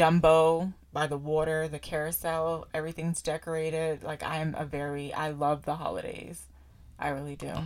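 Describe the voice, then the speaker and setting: On a very clean recording with a silent background, a woman with a very deep, low pitch talks at a moderate pace in a monotone, flat intonation. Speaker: podcast co-host. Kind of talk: casual chat.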